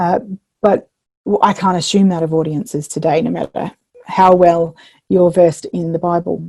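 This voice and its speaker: A woman with an Australian accent speaks at a moderate pace, pausing long and often. Her voice is fairly low and dark and mellow, with fairly even intonation. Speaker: minister and biblical storyteller. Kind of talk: keynote lecture. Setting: online video recording. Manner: hesitant with many fillers.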